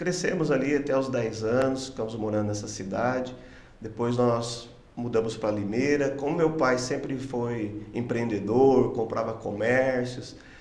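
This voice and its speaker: Amid audible room echo, a man speaks fairly slowly at medium pitch with fairly even intonation. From interior of São Paulo state, Brazil. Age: 60s. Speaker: pastor. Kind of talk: podcast interview.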